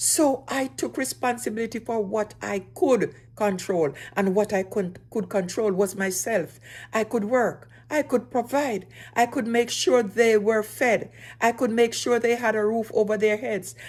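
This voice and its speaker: A woman with a normal speaking voice talks at a fairly slow pace with ordinary pitch variation, on a very clean recording with a silent background. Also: fairly high pitch for a woman. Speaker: single mother. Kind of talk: personal story talk to camera.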